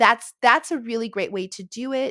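Recorded very cleanly against a silent background, with a dry, close sound and no echo, a woman talks at a fairly slow pace in a bright, sharp tone with ordinary pitch variation. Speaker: reading educator and homeschooling mom. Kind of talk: interview, explaining. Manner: halting with many fillers; positive, uplifting.

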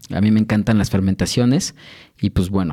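On a very clean recording with a silent background, a man talks in a dark, mellow tone with ordinary pitch variation. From Mexico City. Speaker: sommelier and brewery co-founder. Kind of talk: casual interview with tasting. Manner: hesitant, many fillers.

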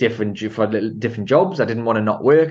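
A man with a Geordie accent and a medium pitch. The background is quiet. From Newcastle, northern England. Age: 30s. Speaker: entrepreneur and property investor. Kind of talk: casual interview.

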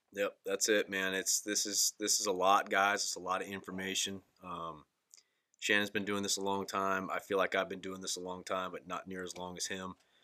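A man's very deep, low voice with a bright, sharp tone, monotone, flat intonation and a moderate pace. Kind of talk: casual chat. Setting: studio.

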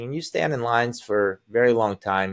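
Fairly quick in pace, the speaker uses a plain, everyday voice with an American accent. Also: man. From Azerbaijan, then US from age ten. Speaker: sales coach. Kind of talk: casual chat.

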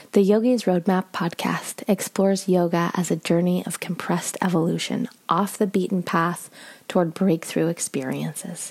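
A woman with a medium pitch talks at a moderate pace, with hardly any pauses. Her intonation stays fairly even, and vocal fry runs through it. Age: 30s. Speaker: yoga teacher and podcast co-host. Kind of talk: scripted narration; casual chat.

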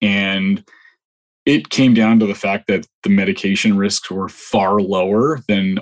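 Dry and close with no echo, the recording carries a man with a Canadian accent. His pitch is fairly low and his intonation fairly even. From northwestern Ontario, Canada. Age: 40s. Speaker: weight-loss client. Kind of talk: interview. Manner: halting, many fillers and repeats.

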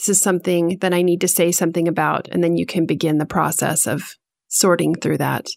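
A woman speaks at a fairly quick pace with a fairly low pitch, vocal fry, monotone, flat intonation and very even loudness on a very clean recording with a silent background. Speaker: podcast co-host, guest. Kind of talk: interview, casual conversation.

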